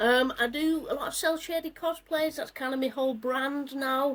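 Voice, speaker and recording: The speaker has a northern English accent and keeps a moderate pace. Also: woman. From northern England. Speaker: cosplayer. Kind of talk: casual chat.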